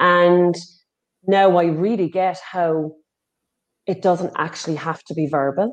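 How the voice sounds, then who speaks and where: Using an Irish accent, a woman speaks at a fairly slow pace with fairly low pitch, fairly even intonation, and long, frequent pauses. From Ireland. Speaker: healing and recovery facilitator. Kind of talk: casual interview chat.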